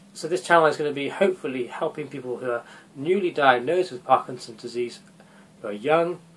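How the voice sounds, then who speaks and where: Over noticeable background noise, a man talks at a very fast pace in a fairly high voice. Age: 30s. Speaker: doctor with Parkinson's disease. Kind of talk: vlog talking to camera. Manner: halting.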